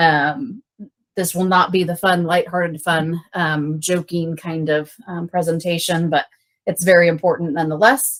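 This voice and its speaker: The woman's voice is fairly low in pitch. Her intonation stays fairly even. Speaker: paramedic instructor. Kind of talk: lecture. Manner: fast.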